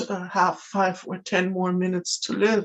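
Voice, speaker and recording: With a German accent, a woman is talking. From Germany. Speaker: spiritual video creator. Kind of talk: talking-head monologue. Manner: hesitant, many fillers.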